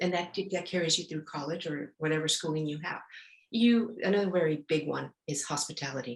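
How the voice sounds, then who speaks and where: Ordinary pitch variation and a fairly quick pace, in a Spanish accent. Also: woman, very deep, low pitch for a woman. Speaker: etiquette expert. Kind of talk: podcast interview. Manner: halting, many fillers.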